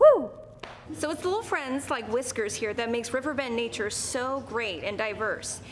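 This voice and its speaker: With an upbeat, playful tone, a woman talks at a moderate pace in a high pitch, showing ordinary pitch variation over noticeable background noise. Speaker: TV news anchor and reporter. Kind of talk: lighthearted TV teaser and feature lead-in. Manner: upbeat, playful, energetic.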